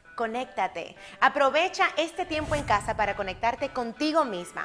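Over music in the background, a woman with an upbeat tone speaks at a fairly slow pace with very wide pitch swings. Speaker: radio host, speaker and business coach. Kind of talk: advice tips to camera. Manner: upbeat, friendly, conversational.

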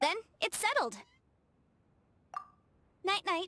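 A woman puts on a character voice with an extremely high pitch and a bright, sharp tone. She speaks at a very slow pace with big pitch swings.

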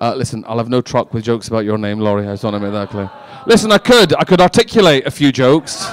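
Dry, with no echo, a man talks at a very fast pace. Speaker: stand-up comedian. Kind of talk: stand-up comedy with crowd work. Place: stage. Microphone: handheld.

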